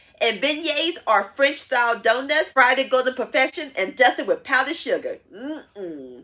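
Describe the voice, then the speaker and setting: A woman uses a raised, projected voice at a moderate pace. The background is quiet. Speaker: home cooking channel host. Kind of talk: cooking show intro. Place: home room.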